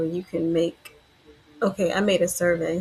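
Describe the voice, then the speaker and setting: Soft-spoken and relaxed in tone, the voice comes through over noticeable background noise. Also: woman. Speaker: death doula and podcast host. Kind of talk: reflective presentation review. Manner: soft-spoken, low volume; relaxed with many fillers.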